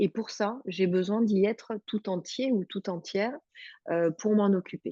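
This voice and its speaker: The recording is dry and close, with no echo. A woman speaks in a dark, mellow tone. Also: quiet background. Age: 40s. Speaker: hypnotherapist and webinar co-host. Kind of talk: webinar presentation. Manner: hesitant, many fillers.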